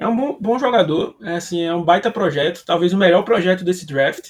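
Speaking in a Pernambuco accent, a man uses a high pitch. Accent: drawling Brazilian accent, Pernambuco-style. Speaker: sports podcast co-host. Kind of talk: casual chat.

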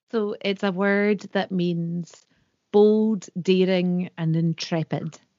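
Very slowly, a woman in a Scottish Highlands and Islands accent speaks at a medium pitch with monotone, flat intonation. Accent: Scottish Highland and Islands. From Scotland, Isle of Skye. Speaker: folk singer. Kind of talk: interview.

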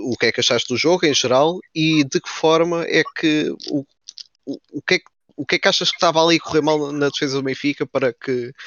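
A man with a plain, everyday voice and fairly high pitch talks at a fairly quick pace with fairly even intonation. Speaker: stand-in podcast moderator. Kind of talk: casual football discussion.

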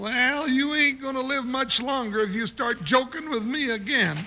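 A man's put-on character voice at an extremely high pitch, bright, sharp tone, ordinary pitch variation and moderate pace, over faint background noise

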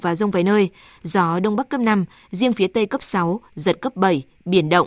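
A woman speaks at a medium pitch and moderate pace with ordinary pitch variation. It is an ordinary speaking voice with a dry, close sound with no echo. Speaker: weather forecaster. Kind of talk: news reading.

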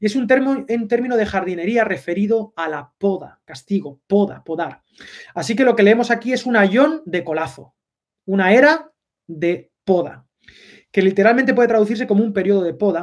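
High in pitch, the man talks with lively intonation. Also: moderate pace. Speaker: pastor. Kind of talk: sermon.

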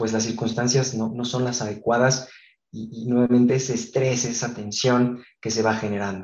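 There is audible room echo around a man's voice. He speaks at a medium pitch with fairly even intonation. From Mexico, Guadalajara. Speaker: architect. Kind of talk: interview. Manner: hesitant fillers.

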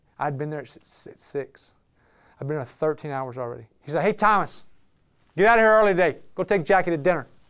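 A man with a Southern US accent talks very fast in an animated tone, his fairly high voice full of lively intonation, on a very clean recording with a silent background. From Alabama, Birmingham. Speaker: business owner and speaker. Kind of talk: talk to a live audience. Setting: room with live audience.

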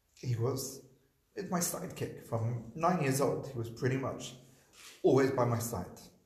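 A somewhat breathy man at medium pitch speaks at a fairly slow pace with long, frequent pauses and audible room echo. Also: ordinary pitch variation. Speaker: rabbi and school teacher. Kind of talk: public conversation about personal loss. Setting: live event with audience.

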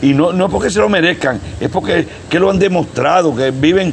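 A man with a Puerto Rican accent talks at a fairly quick pace with lively intonation. Noticeable background noise runs underneath. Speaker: wrestling promoter. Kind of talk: interview. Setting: on location in Vieques.

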